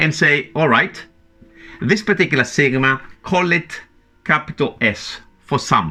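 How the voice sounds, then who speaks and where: With music in the background, a man with a non-native accent speaks at a fairly high pitch and a moderate pace. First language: not English. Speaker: maths teacher. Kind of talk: tutorial. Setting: at a whiteboard.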